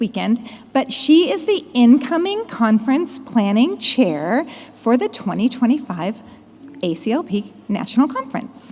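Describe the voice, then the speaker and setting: A loud, high-pitched woman speaks with very wide pitch swings over noticeable background noise. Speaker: conference committee member. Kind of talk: conference announcement. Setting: conference stage with audience.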